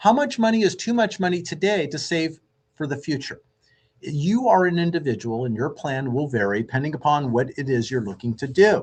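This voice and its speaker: A man's fairly high-pitched, somewhat breathy voice at a fairly quick pace, with very wide pitch swings. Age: 60s. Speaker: radio host and mortgage lender. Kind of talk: radio show monologue.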